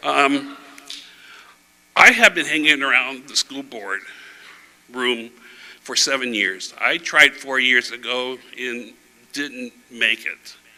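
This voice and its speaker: A man at a medium pitch with a bright, sharp tone speaks at a very slow pace, with long, frequent pauses, ordinary pitch variation and big swings in loudness. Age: 60s. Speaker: school board candidate. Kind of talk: candidate forum speech. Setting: church with audience. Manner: halting.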